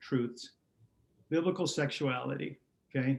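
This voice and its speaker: Pitched fairly high for a man, his speech shows ordinary variation, and he has an unremarkable speaking voice. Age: 60s. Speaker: pastor. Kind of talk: interview.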